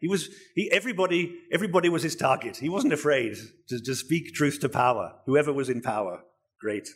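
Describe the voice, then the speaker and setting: A man's fairly high, somewhat breathy voice at a fairly quick pace, with lively intonation. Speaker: preacher. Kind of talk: sermon. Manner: halting.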